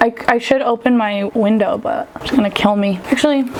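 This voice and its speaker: At a moderate pace, a woman with a fairly high pitch and ordinary pitch variation speaks over noticeable background noise. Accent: American. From Southern California. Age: 30s. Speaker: vlogger. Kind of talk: casual chat. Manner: casual, filler-heavy.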